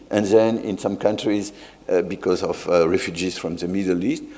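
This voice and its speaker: The speaker is a man. His accent is French. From France. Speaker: sociologist. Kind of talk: academic talk.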